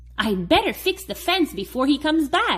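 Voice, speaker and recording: A woman puts on a character voice with a high pitch. It swings very widely in pitch at a moderate pace. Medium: read story. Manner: hasty, excitable.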